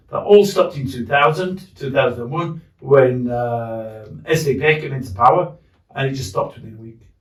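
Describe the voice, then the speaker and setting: In a Yorkshire accent, a man with a medium-pitched, somewhat breathy voice talks at a moderate pace, his intonation lively and his loudness swinging widely. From northern England, Leeds. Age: 60s. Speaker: war veteran. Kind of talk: casual chat. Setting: in a pub.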